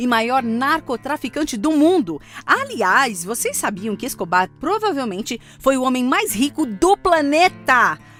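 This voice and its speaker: A woman's high, fairly slow voice in a Brazilian accent, with very wide pitch swings and music in the background. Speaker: voice-over artist. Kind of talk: conversational streaming promo read. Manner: relaxed, light, casual.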